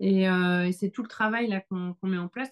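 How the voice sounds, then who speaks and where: A woman with a normal speaking voice and medium pitch talks at a moderate pace. Her intonation is fairly even, and the background is quiet. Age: 40s. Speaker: author and photographer. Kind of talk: interview answer.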